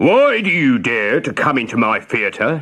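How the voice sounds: A man bellowing in a put-on character voice, fairly high-pitched, at a moderate pace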